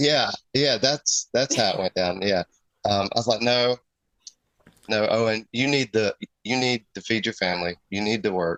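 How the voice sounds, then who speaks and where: With a Southern US accent, a man talks at a medium pitch with ordinary pitch variation and long, frequent pauses, in a dry, close sound with no echo. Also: moderate pace. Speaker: custom airbrush artist. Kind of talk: casual chat.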